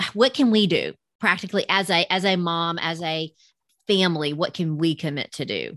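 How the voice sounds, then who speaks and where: Against a quiet background, a woman with a Southern US accent talks at a moderate pace in a fairly low pitch with ordinary variation, the sound dry and close with no echo. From US South. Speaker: podcast host. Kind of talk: casual interview.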